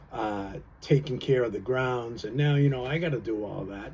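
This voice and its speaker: With audible room echo around him, a man speaks at a moderate pace and a medium pitch, his tone dark and mellow, somewhat breathy, with ordinary pitch variation. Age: 60s. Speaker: vlogger. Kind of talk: casual monologue. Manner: relaxed, halting with fillers.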